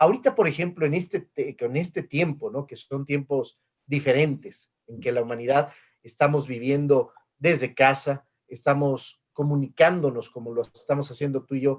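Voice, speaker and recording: A man with a fairly high pitch speaks at a moderate pace, using ordinary pitch variation. He has an ordinary speaking voice, and his loudness swings widely. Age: 50s. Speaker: interview host. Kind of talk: video call interview. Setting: video call.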